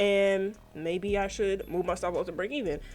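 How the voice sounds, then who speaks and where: A woman's plain, everyday voice at medium pitch and a fairly quick pace. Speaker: trading vlogger. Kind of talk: trade review monologue. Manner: casual, chatty.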